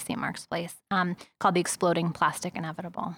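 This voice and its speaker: A woman with an American accent uses a normal speaking voice at a fairly low pitch and a fairly quick pace, recorded very cleanly against a silent background. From New York City (Manhattan, East Village). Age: 40s. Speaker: author and journalist. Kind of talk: interview.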